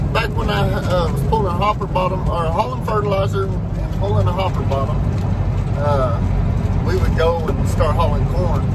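Loud background noise sits under the voice. A man speaks at a moderate pace. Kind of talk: casual vlog chat. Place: car. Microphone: camera far.

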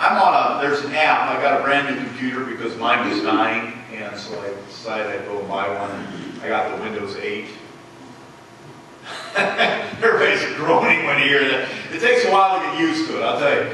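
Strong room echo and light background noise surround a man talking at a fairly quick pace. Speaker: pastor. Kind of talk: sermon. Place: church.

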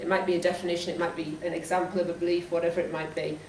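A woman speaks with a Geordie accent at a fairly low pitch. Light background noise and audible room echo are present. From northeast England. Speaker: school teacher. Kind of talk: presentation talk to colleagues. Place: meeting room. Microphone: camera far.

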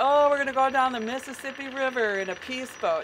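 A woman's voice with noticeable background noise. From Minnesota. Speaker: peace activist, sailing crew member; speaker. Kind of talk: public speech. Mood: earnest, concerned. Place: waterside. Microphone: podium.

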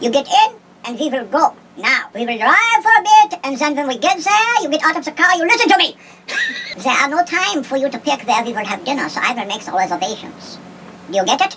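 A put-on character voice, high-pitched, with very wide pitch swings and a fairly quick pace. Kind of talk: comic dating-ad parody. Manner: commanding, barking, menacing.

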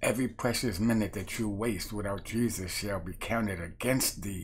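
A man speaks at a fairly slow pace in a fairly low, somewhat breathy voice with an animated tone, over light background noise. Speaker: street preacher. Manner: animated, fiery, emphatic, rhythmic. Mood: earnest, warning. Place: home room. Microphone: webcam.

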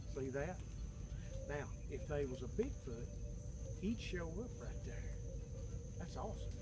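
Over background music, a man speaks at a fairly slow pace in a dry recording with no echo. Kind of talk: tutorial. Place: forest. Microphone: camera far.

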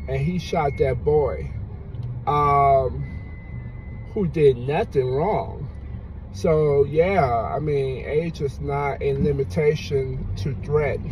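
Over light background noise, a man speaks at a very slow pace with long, frequent pauses, the sound dry with no echo. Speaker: vlogger. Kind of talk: casual vlog commentary. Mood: relaxed but opinionated. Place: car. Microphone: phone near.

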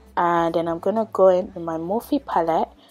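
Faint music plays in the background as a woman with a fairly low pitch speaks at a moderate pace. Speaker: beauty vlogger. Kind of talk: tutorial. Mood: calm, friendly.

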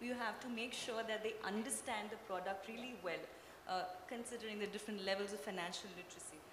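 Hardly pausing, a woman talks at a fairly quick pace with fairly even intonation over noticeable background noise. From Kerala, India. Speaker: panel moderator. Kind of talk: panel discussion. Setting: stage with audience. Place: stage. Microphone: handheld.

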